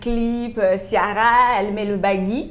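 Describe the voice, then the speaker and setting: The delivery is very slow, with fairly even intonation throughout. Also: woman. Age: 30s. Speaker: fashion entrepreneur. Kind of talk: interview. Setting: coffee shop.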